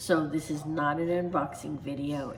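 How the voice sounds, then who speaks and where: A soft-spoken woman with a very deep, low voice talks at a moderate pace with fairly even intonation, and audible room echo surrounds her. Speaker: Disney vlogger. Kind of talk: casual vlog talk to camera. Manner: hesitant, many fillers.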